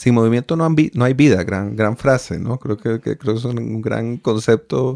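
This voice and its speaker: Against a quiet background, a man with a medium pitch talks in a normal speaking voice with ordinary pitch variation. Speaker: radio host. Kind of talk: radio interview. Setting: radio studio. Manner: formal, courteous.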